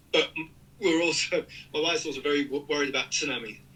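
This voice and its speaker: Music in the background and a man's very fast talking. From North Yorkshire, York. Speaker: cyclist living abroad. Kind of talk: casual chat.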